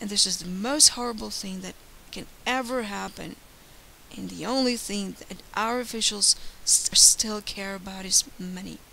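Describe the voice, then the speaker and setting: Over noticeable background noise, a woman speaks at a moderate pace and medium pitch with fairly even intonation and big swings in loudness. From Ukraine. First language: Ukrainian or Russian. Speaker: YouTuber. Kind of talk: monologue. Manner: earnest.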